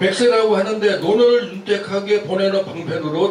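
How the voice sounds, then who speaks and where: High-pitched man at a moderate pace, with audible room echo and noticeable background noise. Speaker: debate participant. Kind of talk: formal debate rebuttal.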